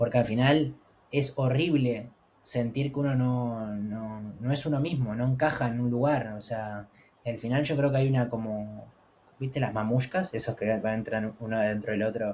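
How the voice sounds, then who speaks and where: A man with a Rioplatense accent, fairly slow pace and fairly even intonation. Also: medium pitch for a man. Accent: Argentine Spanish (rioplatense). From Argentina. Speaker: travel content creator. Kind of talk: interview.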